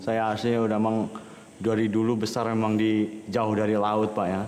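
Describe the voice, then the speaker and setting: A man with a medium-pitched voice is heard over noticeable background noise, with audible room echo. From Indonesia, Lampung (ethnic Javanese). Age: 30s. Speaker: migrant fisherman. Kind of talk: documentary interview.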